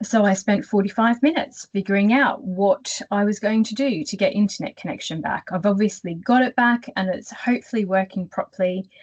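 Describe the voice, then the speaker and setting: A woman with an Australian accent, somewhat breathy, at a fairly quick pace, in a dry, close sound with no echo. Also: medium pitch for a woman, ordinary pitch variation, hardly any pauses. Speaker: career coach. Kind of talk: webinar presentation.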